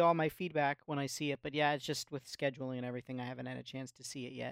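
A man speaks very fast at a fairly high pitch, with big swings in loudness. The recording is very clean with a silent background. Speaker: podcast panelist.

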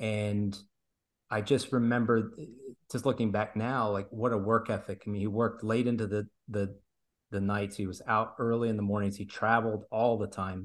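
In a very clean recording with a silent background, a man talks at a moderate pace in a fairly low pitch with monotone, flat intonation. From grew up in Italy and Brazil. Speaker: airline pilot and father. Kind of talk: casual chat.

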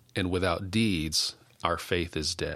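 Very deep, low male voice with a bright, sharp tone and ordinary pitch variation, in a very clean recording with a silent background. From West Texas. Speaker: denominational staff minister and podcast host. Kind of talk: devotional teaching.

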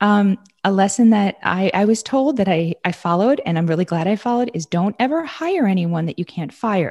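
With an American accent, a woman uses an ordinary speaking voice at a medium pitch and lively intonation. She goes at a fairly quick pace with hardly any pauses, in a dry, close sound with no echo. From New York. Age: 40s. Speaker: dermatologist. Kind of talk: casual chat.

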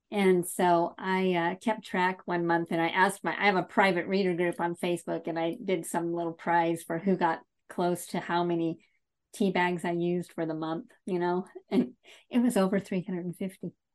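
In a quiet setting, a woman speaks in an ordinary speaking voice with fairly low pitch, fairly even intonation and a moderate pace. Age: 50s. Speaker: novelist. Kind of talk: interview.

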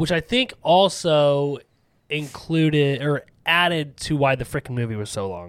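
The recording is very clean, with a silent background. A man with a fairly high pitch speaks at a fairly slow pace with lively intonation. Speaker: horror movie podcast host. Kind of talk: casual chat. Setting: studio. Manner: loud.

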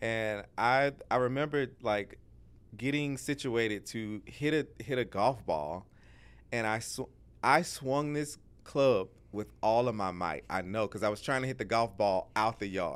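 A man with an unremarkable speaking voice talks at a fairly slow pace, medium in pitch. His pitch variation is ordinary, and the recording is very clean with a silent background. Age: 30s. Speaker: pastor. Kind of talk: casual chat.

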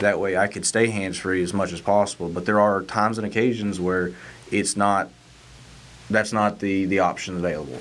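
A man talks at a fairly quick pace in a fairly low voice, his intonation fairly even. Noticeable background noise sits behind him. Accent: north Georgia. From north Georgia (Lumpkin County). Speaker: state trooper. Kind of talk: casual chat.

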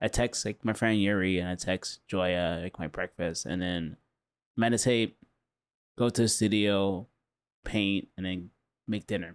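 In a very clean recording with a silent background, a man with an American accent speaks at a fairly slow pace with fairly even intonation and long, frequent pauses. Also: fairly low pitch for a man. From Southern California, Huntington Beach. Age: 40s. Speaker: artist. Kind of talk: casual interview chat.

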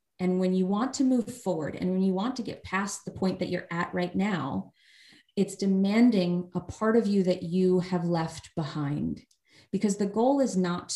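This woman speaks at a medium pitch with a dark, mellow tone, a somewhat breathy quality, and ordinary pitch variation. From New York (Long Island). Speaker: startup founder and coach. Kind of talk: casual interview chat.

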